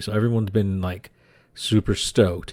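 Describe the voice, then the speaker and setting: A man speaks quietly at a fairly low pitch. His tone is dark and mellow. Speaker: podcast host. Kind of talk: casual podcast chat. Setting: home office. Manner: quiet and slow. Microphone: good mic.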